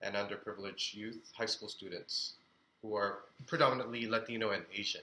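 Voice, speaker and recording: A man's bright, sharp voice at medium pitch, flat and monotone in intonation. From Philippines (Manila), moved to Chicago at 12. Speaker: actor. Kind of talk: interview. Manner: hesitant, many fillers.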